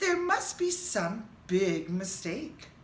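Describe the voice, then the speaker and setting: A woman speaks in a put-on character voice with a calm tone. Clear background noise runs under her. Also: fairly high pitch for a woman. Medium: read story. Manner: calm, reassuring.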